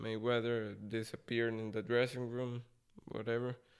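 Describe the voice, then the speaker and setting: A man's medium-pitched voice with a Costa Rican accent and monotone, flat intonation. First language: Spanish. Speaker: boxer. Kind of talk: casual interview chat.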